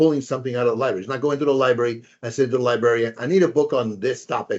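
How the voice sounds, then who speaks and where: Pitched at a medium level, a man speaks with ordinary pitch variation. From Spanish-speaking country. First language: Spanish. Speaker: professor. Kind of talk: lecture. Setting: webinar. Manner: hesitant with fillers and repetitions.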